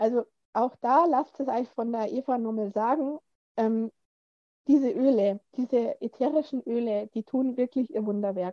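In a dry, close sound with no echo, a woman with a high pitch and a dark, mellow tone speaks fairly slowly with ordinary pitch variation. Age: 40s. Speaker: course participant. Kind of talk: casual interview. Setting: video call.

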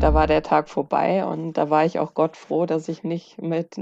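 The tone is dark and mellow, delivered at a moderate pace. The background is quiet. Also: woman. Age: 30s. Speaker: bodybuilding athlete and fitness coach. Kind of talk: casual chat.

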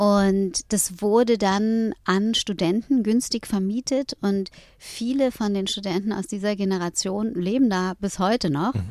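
A woman with an unremarkable speaking voice and medium pitch talks at a fairly slow pace with hardly any pauses and ordinary pitch variation, in a very clean recording with a silent background and a dry, close sound with no echo. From Hamburg, northern Germany. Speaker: rapper turned yoga teacher. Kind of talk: interview. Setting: in a VW camper van.

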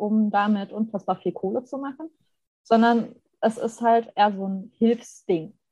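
This woman has a dark, mellow tone that is somewhat breathy, with a fairly high pitch, a fairly slow pace and fairly even intonation. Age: 30s. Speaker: graphic designer. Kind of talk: casual chat.

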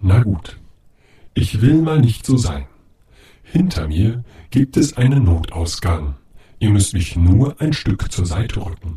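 A man's put-on character voice, fairly low in pitch, at a fairly slow pace with long, frequent pauses. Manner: dry, matter-of-fact.

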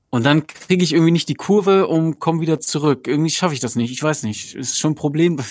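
A man's fairly high voice at a very fast pace, with ordinary pitch variation and hardly any pauses. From northern Germany, Osnabrück. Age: 30s. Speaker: fellow podcaster, guest. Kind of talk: casual chat.

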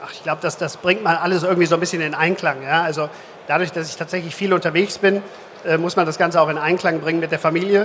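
A very fast, fairly even-toned man's voice, high in pitch, over noticeable background noise. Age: 50s. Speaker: insurance executive. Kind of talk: live stage interview. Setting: conference stage with audience.

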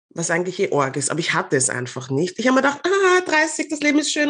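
A woman talks at a very fast pace. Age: 40s. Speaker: media professional. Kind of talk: casual chat.

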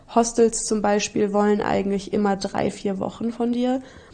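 Keeping a moderate pace, a woman uses a normal speaking voice with fairly even intonation. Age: 20s. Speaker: traveller and volunteer. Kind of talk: casual chat.

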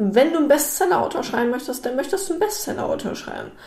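A woman talks with lively intonation, and audible room echo can be heard. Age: 20s. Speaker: business consultant. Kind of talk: solo podcast monologue. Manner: casual, filler-heavy.

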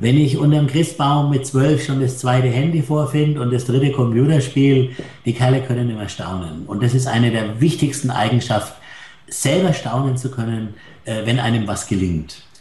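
A man talks at a medium pitch, with audible room echo and noticeable background noise in the recording. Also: ordinary pitch variation, moderate pace. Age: 60s. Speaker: hotelier. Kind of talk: interview.

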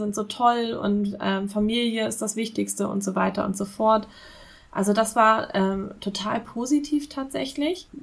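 Somewhat breathy, a woman's voice sits at medium pitch with ordinary pitch variation. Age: 30s. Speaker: business consultant for freelancers. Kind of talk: podcast interview.

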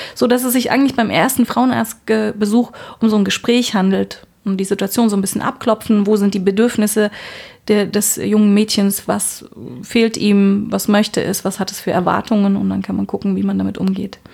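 An unremarkable speaking voice keeps fairly even intonation at a moderate pace. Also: woman, medium pitch for a woman. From Berlin, Germany. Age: 40s. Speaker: gynecologist, head physician. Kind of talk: casual interview. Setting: on-call room in a hospital.

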